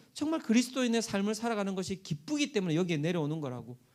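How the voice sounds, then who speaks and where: Very wide swings in pitch, captured on a very clean recording against a silent background. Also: man. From South Korea, Busan. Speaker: pastor. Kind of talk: sermon.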